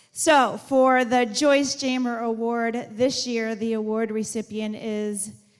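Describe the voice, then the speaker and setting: Speaking at a very slow pace, a woman with a fairly high pitch shows ordinary pitch variation amid audible room echo. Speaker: high school principal. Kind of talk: ceremony speech. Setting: school auditorium with audience, on mic. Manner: loud.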